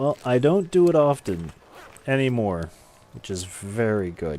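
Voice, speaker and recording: A man's dark, mellow voice at medium pitch, with very wide pitch swings and big swings in loudness. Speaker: gaming streamer. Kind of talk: casual live-stream chat. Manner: sometimes fast, not always clearly enunciated; hesitant, many fillers.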